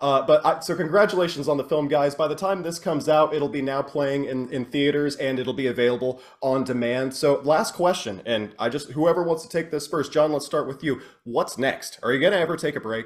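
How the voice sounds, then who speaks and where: A fairly high-pitched man with an American accent at a fairly quick pace, hardly any pauses and ordinary pitch variation, against noticeable background noise. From Oklahoma. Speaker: podcast host. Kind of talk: casual interview.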